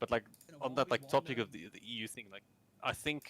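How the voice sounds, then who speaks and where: A man speaks at a medium pitch and a moderate pace, with vocal fry and ordinary pitch variation. The sound is dry and close, with no echo. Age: 20s. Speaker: esports coach and stream host. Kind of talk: casual chat. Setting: live stream.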